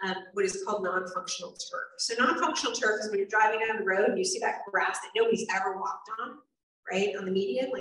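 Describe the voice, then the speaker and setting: A woman speaks at a fairly high pitch with lively intonation. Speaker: state legislator. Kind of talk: town hall talk. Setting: town hall with audience. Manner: fast.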